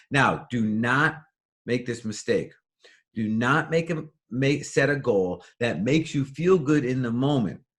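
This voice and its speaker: A man talks at a medium pitch with ordinary pitch variation. His tone is animated. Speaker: motivational speaker. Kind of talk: motivational talk. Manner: fast.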